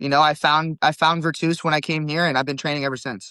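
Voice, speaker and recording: With a Californian accent, a man speaks in a bright, sharp tone. His pitch is fairly high. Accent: General American (California). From California, Stockton area. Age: 20s. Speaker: jiu-jitsu competitor. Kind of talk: podcast interview.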